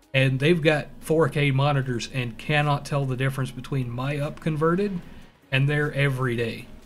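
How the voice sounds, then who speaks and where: A fairly high-pitched man at a moderate pace with a slight Southern US accent, fairly even intonation and audible room echo. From US South. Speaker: gaming streamer. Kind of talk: live gameplay stream chat. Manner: casual, rambling with fillers.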